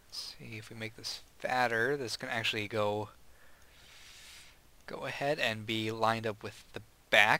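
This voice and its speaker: A man with a bright, sharp tone and medium pitch speaks at a fairly slow pace, monotone and flat, with big swings in loudness and long, frequent pauses. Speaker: gaming video creator. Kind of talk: gameplay commentary. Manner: casual, self-talking.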